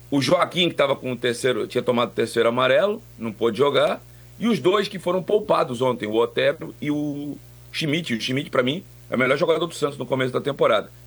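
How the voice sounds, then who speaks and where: A man with a normal speaking voice, fairly high in pitch, with lively intonation and a fairly quick pace. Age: 50s. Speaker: sports radio commentator. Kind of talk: sports talk radio.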